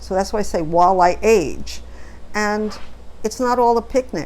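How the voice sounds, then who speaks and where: Audible room echo surrounds the speech. The woman talks fairly slowly. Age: 70s. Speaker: vlogger. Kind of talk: casual monologue. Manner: halting.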